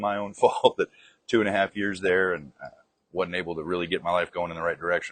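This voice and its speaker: The recording is dry and close, with no echo. A man speaks with a very deep, low pitch. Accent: slight Southern US. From Arkansas. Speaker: soldier. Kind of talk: interview answer. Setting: outdoors.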